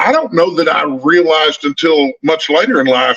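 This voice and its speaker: In a Texan accent, the voice has a bright, sharp tone and lively intonation at a moderate pace, with a dry, close sound and no echo. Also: man. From Northeast Texas, small town. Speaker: book youtuber. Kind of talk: casual chat.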